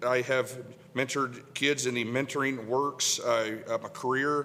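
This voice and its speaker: At a very slow pace, a man speaks with medium pitch. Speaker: city council candidate. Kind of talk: candidate introduction speech. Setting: public meet-the-candidates coffee event. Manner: halting, many fillers and repetitions.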